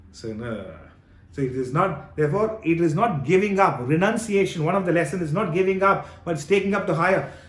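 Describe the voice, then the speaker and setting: Audible room echo surrounds a man speaking at a fairly quick pace in a high pitch with lively intonation. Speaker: spiritual teacher. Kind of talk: Q&A session on scripture.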